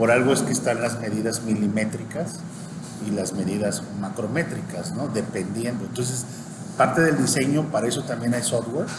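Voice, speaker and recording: Talking at a very fast pace with ordinary pitch variation, a man is heard over noticeable background noise and audible room echo. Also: medium pitch for a man. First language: Spanish. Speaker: university dean. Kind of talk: interview. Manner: halting.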